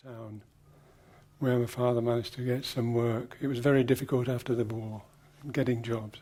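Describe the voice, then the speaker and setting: A man with an English Midlands accent, medium in pitch, dark and mellow in tone, monotone and flat in intonation, at a moderate pace with long, frequent pauses. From English Midlands, Leicester. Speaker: design teacher and writer. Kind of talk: interview recollection. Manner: reflective, some hesitations.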